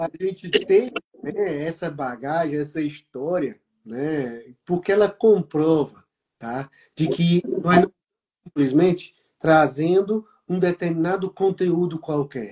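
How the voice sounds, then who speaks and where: A man speaks very slowly in a high pitch, with ordinary pitch variation. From Brazil. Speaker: business mentor and program host. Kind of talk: live online talk show.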